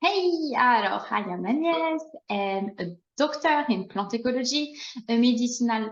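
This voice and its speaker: A fairly high-pitched woman with a slight French accent, lively intonation and a fairly slow pace. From France. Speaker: plant ecologist and herb farmer. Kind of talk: casual chat.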